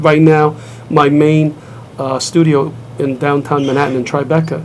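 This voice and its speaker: There is noticeable background noise as a man speaks in a flat monotone with a slight Brooklyn accent. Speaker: martial arts grandmaster and school owner. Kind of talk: TV interview. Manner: conversational, with hesitations and restarts.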